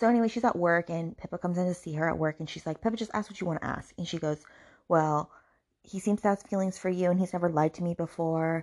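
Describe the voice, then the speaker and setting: The intonation stays fairly even as the words come out at a very fast pace over a quiet background. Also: woman, fairly low pitch for a woman. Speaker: book podcast host. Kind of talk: angry rant, book review. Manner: fuming, outraged, repeating 'I'm so mad'; fast, sarcastic, swearing.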